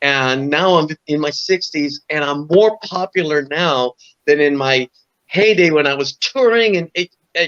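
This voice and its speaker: With an American accent, a man speaks at a fairly high pitch with ordinary pitch variation in a dry, close sound with no echo. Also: fairly slow pace. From New York (Bronx). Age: 60s. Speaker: rock guitarist. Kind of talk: interview. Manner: animated.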